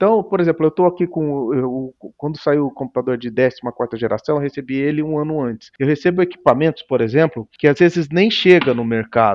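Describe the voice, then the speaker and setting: Against a quiet background, a man speaks fairly quickly with a fairly high pitch and lively intonation. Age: 50s. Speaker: tech company founder; guest. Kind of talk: interview; interview answer. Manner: halting. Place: home room. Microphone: headset.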